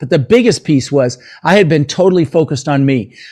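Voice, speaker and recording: A man speaks with ordinary pitch variation. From US, Denver. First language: not English. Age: 60s. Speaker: real estate investor and motivational speaker. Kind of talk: podcast interview, storytelling. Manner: animated.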